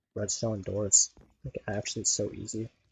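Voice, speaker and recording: A man speaks in a somewhat breathy voice. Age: 20s. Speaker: gaming streamer. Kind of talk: casual chat. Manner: casual, filler-heavy.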